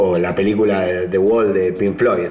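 A man's fairly low voice at a very slow pace, with audible room echo and noticeable background noise. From Argentina, Buenos Aires province. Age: 30s. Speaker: DJ and music producer. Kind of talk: interview. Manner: halting, with repeated words.

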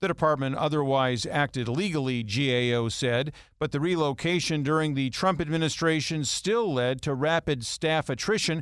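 On a very clean recording with a silent background, a plain, everyday voice moves at a moderate pace with very even loudness and ordinary pitch variation. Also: man. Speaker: news anchor. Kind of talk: news reading. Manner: formal, steady, brisk.

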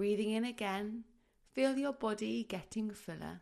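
In a plain, everyday voice, a woman speaks at a fairly high pitch with ordinary pitch variation. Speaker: midwife. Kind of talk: guided meditation. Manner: soft, slow, soothing; calm, gently paced.

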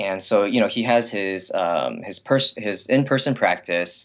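With a Californian accent, a man talks at a moderate pace. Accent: Californian American English. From Los Angeles area, US. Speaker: shoe company founder. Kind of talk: interview conversation. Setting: internet call.

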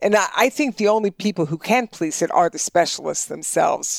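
This woman's pitch is fairly high and swings very widely at a moderate pace. The sound is dry and close, with no echo. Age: 60s. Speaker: health economist, professor. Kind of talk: interview. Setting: in-person office interview.

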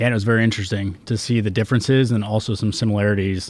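A man speaks with fairly low pitch. His intonation stays fairly even. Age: 30s. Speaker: marine sergeant. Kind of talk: panel discussion.

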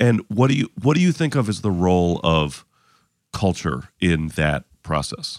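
A man talks slowly, in a very deep, low voice that swings very widely in pitch. His loudness stays very even. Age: 30s. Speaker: comedian and podcast host. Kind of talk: casual interview. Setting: guest's home. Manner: halting.

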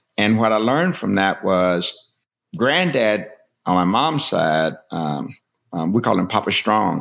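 With an American accent, a man speaks at a fairly slow pace, his pitch swinging very widely. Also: very even loudness. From Kentucky, Breathitt County. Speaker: bourbon distillery storyteller. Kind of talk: casual interview storytelling.

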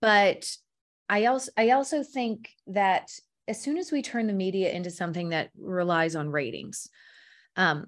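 Against a quiet background, a woman with an American accent speaks at a moderate pace, her pitch swinging very widely. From US South. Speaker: actress. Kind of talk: interview. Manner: halting, with frequent restarts.

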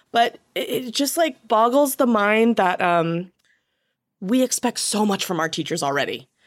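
A woman talks at a fairly slow pace in an American accent, with lively intonation and a fairly high pitch. She has an ordinary speaking voice. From small US town. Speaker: comedy writer and actor. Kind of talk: casual chat.

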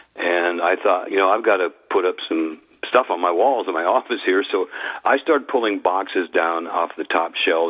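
Through noticeable background noise, a man speaks at a fairly quick pace. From US, Idaho. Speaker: former music executive and author. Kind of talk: interview.

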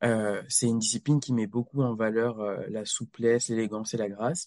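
This is a normal speaking voice delivered at a fairly slow pace. The sound is dry and close, with no echo. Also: man. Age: 20s. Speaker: rhythmic gymnast and doctoral student. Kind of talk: casual interview.

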